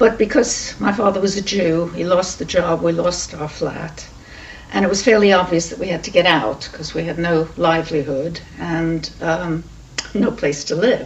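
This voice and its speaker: Over noticeable background noise, a woman talks at a moderate pace with a British accent. Her pitch is fairly low with ordinary variation. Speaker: Holocaust refugee witness. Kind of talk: oral history testimony. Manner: hesitant, with many fillers.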